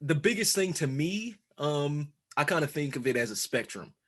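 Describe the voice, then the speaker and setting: Against a quiet background, a man with an American accent talks at a moderate pace. His pitch is fairly high and his intonation lively. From New York (Queens). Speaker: real estate investor and law and business student. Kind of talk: casual interview chat.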